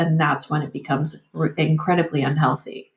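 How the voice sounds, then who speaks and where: In an American accent, a woman talks at a moderate pace. Her voice is somewhat breathy and fairly low in pitch. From US, Vietnamese refugee family. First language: Vietnamese. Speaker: muralist and artist. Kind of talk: interview conversation. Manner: halting, many repetitions and fillers.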